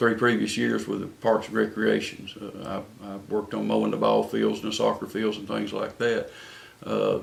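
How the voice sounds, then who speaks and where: A man with a North Carolina accent at a moderate pace, amid noticeable background noise. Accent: Southern US (North Carolina). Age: 60s. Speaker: city council candidate. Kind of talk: interview. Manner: halting, many fillers and repeats.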